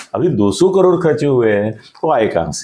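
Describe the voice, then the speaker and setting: A man with a fairly high pitch swings very widely up and down while an audible room echo surrounds his voice. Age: 70s. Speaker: political analyst. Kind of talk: political interview.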